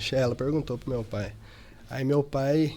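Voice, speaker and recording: At a moderate pace, an unremarkable speaking voice delivers its lines with fairly even intonation. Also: man. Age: 20s. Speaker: company director. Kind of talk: interview.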